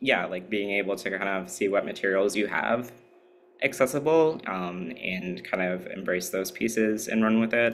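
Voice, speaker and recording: A man with a plain, everyday voice speaks at a fairly low pitch and a moderate pace. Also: ordinary pitch variation. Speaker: workshop presenter. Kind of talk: workshop talk. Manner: casual, many filler words.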